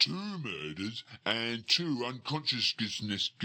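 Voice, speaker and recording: Using a put-on character voice, a man speaks at medium pitch and a fairly slow pace. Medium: video game. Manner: slow, ungrammatical, blunt.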